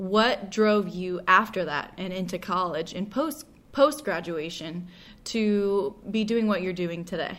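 With an unremarkable speaking voice, a woman of medium pitch talks at a fairly slow pace with ordinary pitch variation. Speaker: podcast host. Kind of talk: interview.

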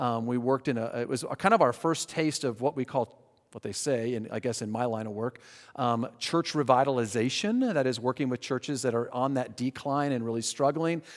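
Against a silent background in a very clean recording, a man with an American accent and a plain, everyday voice talks at a fairly quick pace with medium pitch and fairly even intonation. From Colorado. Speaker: pastor. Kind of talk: sermon; Q&A answer.

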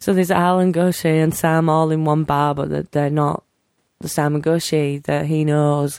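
At a moderate pace, the speaker talks with monotone, flat intonation. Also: woman, very deep, low pitch for a woman. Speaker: podcast co-host. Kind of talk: casual chat.

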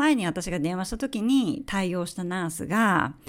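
On a very clean recording with a silent background, a woman at medium pitch speaks at a fairly slow pace with very wide pitch swings. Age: 40s. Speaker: podcast host. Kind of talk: personal monologue. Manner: halting.

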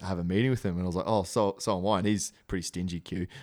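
A man talks at a very fast pace with a very deep, low pitch and monotone, flat intonation. The recording is very clean, with a silent background. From Brisbane, Australia. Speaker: rugby league player. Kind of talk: casual interview chat. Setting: studio.

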